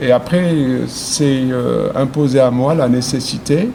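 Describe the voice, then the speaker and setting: With noticeable background noise, a man with a fairly high pitch speaks with ordinary pitch variation. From Algeria. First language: Arabic (speaking French). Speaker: poet. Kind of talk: interview. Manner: halting, many hesitations.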